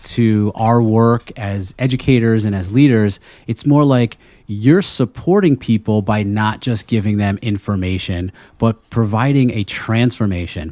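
This man has an American accent, a medium pitch and ordinary pitch variation. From Connecticut. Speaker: instructional coach. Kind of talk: casual chat. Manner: halting.

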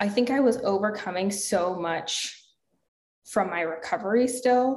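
In an American accent, a woman speaks somewhat breathily with lively intonation while room echo is audible. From US South. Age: 20s. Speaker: health and fitness coach, entrepreneur. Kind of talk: interview conversation.

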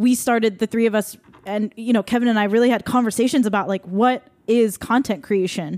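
Here a woman with an American accent has an unremarkable speaking voice and a fairly high pitch. She talks at a fairly quick pace with ordinary pitch variation. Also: dry, close sound with no echo. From Taiwanese American. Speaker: singer-songwriter and podcast host. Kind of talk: casual chat.

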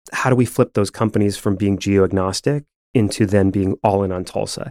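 With an American accent, a man speaks in an ordinary speaking voice at a moderate pace, his pitch fairly low. His pitch varies in an ordinary way, and the sound is dry and close with no echo. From upstate New York, Rochester. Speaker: economic development program director, former Broadway performer. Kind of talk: podcast interview.

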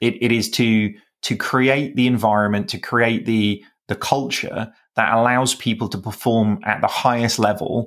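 A man with a British accent, medium pitch and moderate pace, on a very clean recording with a silent background. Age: 40s. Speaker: business founder and CEO. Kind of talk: interview.

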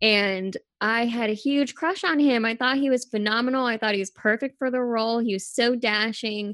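A normal speaking voice with ordinary pitch variation runs on with hardly any pauses against a quiet background. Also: woman, fairly high pitch for a woman, moderate pace. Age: 30s. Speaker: film podcast guest. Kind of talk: casual chat.

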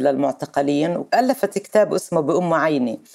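The woman's pitch is very deep and low. She keeps a moderate pace. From Palestine, Nablus. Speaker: Palestinian activist and legislator. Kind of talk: interview.

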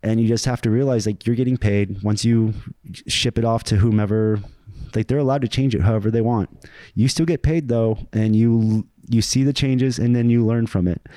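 Heard in a very clean recording with a silent background, a man with an American accent, medium pitch and a dark, mellow tone speaks at a fairly quick pace with fairly even intonation. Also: very even loudness, dry, close sound with no echo. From Springfield, Ohio. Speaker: veteran and writer. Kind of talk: casual interview chat.

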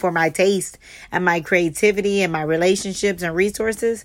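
A woman with a Southern US accent speaks at a fairly quick pace, medium pitch, and fairly even intonation. Her tone is bright and sharp on a very clean recording with a silent background. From US South, Charleston, South Carolina. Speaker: fashion stylist and podcast host. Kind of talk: solo podcast monologue.

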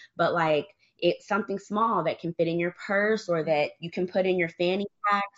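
In an American accent, a woman with a normal speaking voice talks at a moderate pace and medium pitch with fairly even intonation. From US, Michigan. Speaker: gun owner and advocate. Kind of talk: casual chat.

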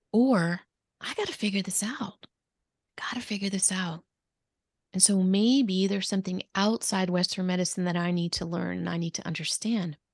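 A somewhat breathy woman with an American accent, medium pitch and moderate pace. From New Jersey. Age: 50s. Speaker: physician and wellness coach. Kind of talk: interview.

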